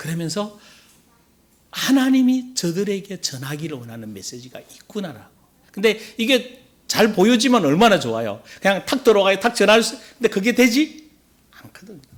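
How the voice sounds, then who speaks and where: At a moderate pace, a high-pitched man talks with very wide pitch swings and big swings in loudness. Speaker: pastor. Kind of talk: sermon.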